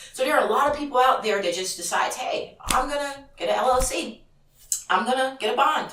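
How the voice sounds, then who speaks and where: Amid noticeable background noise and audible room echo, a woman speaks in a high pitch with an animated tone and lively intonation. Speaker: auto transport broker trainer and vlogger. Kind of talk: casual vlog talk to camera. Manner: fast.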